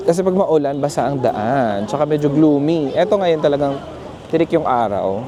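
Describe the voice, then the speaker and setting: Moderate pace from a man, noticeable background noise behind. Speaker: travel vlogger. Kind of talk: casual vlog narration. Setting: outdoors and in a mall, walking. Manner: soft-spoken inside the mall.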